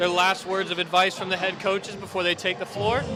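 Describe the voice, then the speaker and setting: A man speaks at a high pitch in an American accent. Music plays in the background, and room echo is audible. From Missouri, US. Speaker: basketball co-commentator. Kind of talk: live sports commentary. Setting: commentary booth at a live game.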